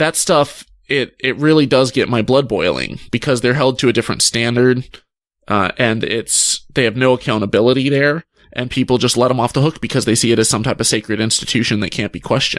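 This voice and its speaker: A man at a medium pitch and fairly quick pace, with fairly even intonation and a very clean recording with a silent background. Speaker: atheist YouTuber. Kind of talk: podcast interview. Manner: soft-spoken; calm.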